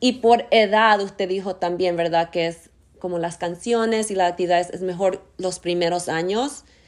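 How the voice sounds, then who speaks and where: With an ordinary speaking voice, a woman talks at medium pitch and a moderate pace with fairly even intonation. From US, Argentine roots. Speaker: podcast host. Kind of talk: casual interview. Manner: code-switching English and Spanish.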